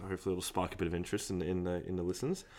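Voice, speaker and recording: An Australian accent marks this man's speech, captured in a very clean recording with a silent background. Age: 20s. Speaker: podcast host. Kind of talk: casual chat.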